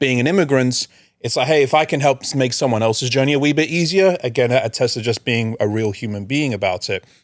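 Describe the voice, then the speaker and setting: Speaking with an American accent, a man goes at a very fast pace. The recording is very clean, the background silent. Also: medium pitch for a man, ordinary pitch variation. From England, London. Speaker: recruitment expert. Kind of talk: podcast interview, casual chat.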